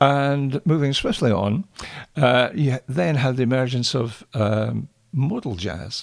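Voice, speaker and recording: In a dry, close sound with no echo, a voice with a Scottish accent carries lively intonation and vocal fry. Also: man. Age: 70s. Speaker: jazz pianist. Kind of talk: lecture with musical demonstration. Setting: home.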